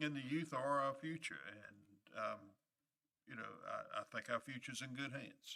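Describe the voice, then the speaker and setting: A man with a North Carolina accent speaks at a moderate pace, leaving long, frequent pauses. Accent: Southern US (North Carolina). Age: 70s. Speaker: county commissioner. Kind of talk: public meeting remarks. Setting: public meeting room. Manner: halting, many fillers.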